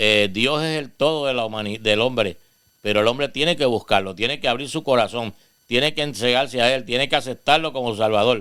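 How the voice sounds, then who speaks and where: On a very clean recording with a silent background, a man with a bright, sharp tone and medium pitch talks at a fairly quick pace with ordinary pitch variation. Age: 70s. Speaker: pastor. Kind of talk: testimony.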